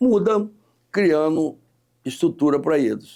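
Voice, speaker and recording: Recorded very cleanly over a silent background, a man speaks in a dark, mellow tone. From Mato Grosso, Brazil (Nossa Senhora do Livramento). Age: 60s. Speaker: politician. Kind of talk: interview. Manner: halting, with repetitions.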